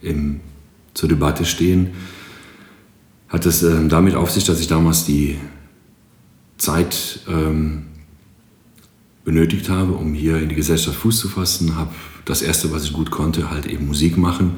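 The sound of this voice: This man's voice sits extremely low, with a slightly mellow tone, fairly even intonation, a fairly slow pace and long, frequent pauses.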